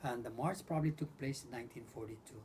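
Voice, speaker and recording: A man speaks with a fairly high pitch and a dark, mellow tone. His pitch varies in an ordinary way, and his voice is somewhat breathy. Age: 70s. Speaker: war survivor interviewed by grandson. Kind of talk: oral history interview. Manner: halting, repeats words.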